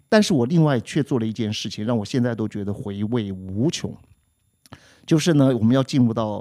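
A man's medium pitch and dark, mellow tone at a moderate pace. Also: ordinary pitch variation. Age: 60s. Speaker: music teacher and podcast co-host. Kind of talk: casual chat. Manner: clear, precise articulation.

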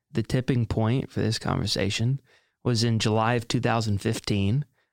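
Recorded very cleanly against a silent background, a man at medium pitch speaks at a moderate pace in a plain, everyday voice. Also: dry, close sound with no echo. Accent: American. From US South, South Carolina. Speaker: author and entrepreneur. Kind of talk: interview conversation. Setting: studio.

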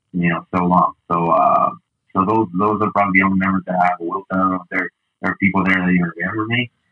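Speaking very fast with a Spanish accent, a man uses a very deep, low pitch and a monotone, flat intonation. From Mexico City. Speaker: sports broadcaster. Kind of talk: casual interview.

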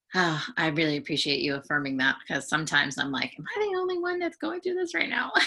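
The speaker talks at a very fast pace with an American accent, leaving hardly any pauses. Noticeable background noise runs underneath. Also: woman. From San Francisco Bay Area, US. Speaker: counseling psychology student and life coach. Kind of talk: casual interview.

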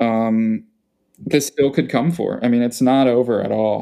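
In a Philadelphia accent, a man speaks at medium pitch with fairly even intonation. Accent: Philadelphia-area American. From Philadelphia suburbs, Pennsylvania. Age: 20s. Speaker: writer. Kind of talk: casual interview.

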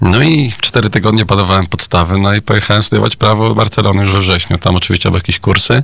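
Noticeable background noise sits behind a man's voice. He speaks at a very fast pace with ordinary pitch variation. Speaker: Spanish teacher and video maker. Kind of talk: radio interview.

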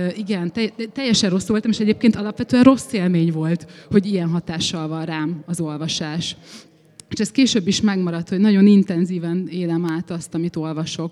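A woman speaks at a moderate pace in a dark, mellow tone, her pitch fairly low with ordinary variation. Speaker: writer. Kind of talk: panel discussion on stage. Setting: festival stage with audience.

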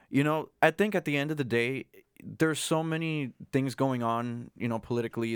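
A man speaks in a normal speaking voice at a medium pitch and moderate pace with ordinary pitch variation, the sound dry and close with no echo on a very clean recording with a silent background. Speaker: guest. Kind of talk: casual chat. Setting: studio.

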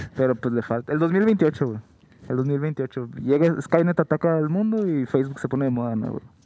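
A man at a moderate pace with lively intonation. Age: 20s. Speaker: podcast co-host. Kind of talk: casual chat.

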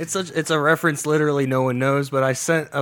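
Noticeable background noise sits behind a man's voice. He has a fairly high pitch and fairly even intonation. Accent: American. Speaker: podcast co-host and music producer. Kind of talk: casual chat. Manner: calm, serious.

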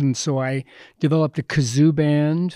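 A man speaks in an ordinary speaking voice, fairly high in pitch with fairly even intonation. The recording is very clean, with a silent background and a dry, close sound with no echo. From Canada, Edmonton. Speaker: playwright and director. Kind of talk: panel discussion. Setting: stage with audience.

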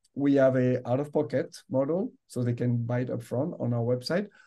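At a moderate pace, a man talks in a dark, mellow tone, with medium pitch and ordinary pitch variation. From France. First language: French. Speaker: medical device executive. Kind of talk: interview.

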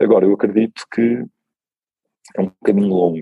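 Heard in a dry, close sound with no echo, a man talks at a fairly quick pace. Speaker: tech company CEO. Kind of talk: interview.

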